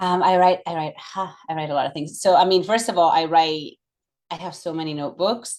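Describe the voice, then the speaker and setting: With a Catalan accent, a woman speaks at a fairly low pitch and fairly quick pace, her intonation fairly even but her loudness swinging widely, on a very clean recording with a silent background. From Catalonia, Barcelona. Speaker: yoga instructor and former professional figure skater. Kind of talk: casual interview chat.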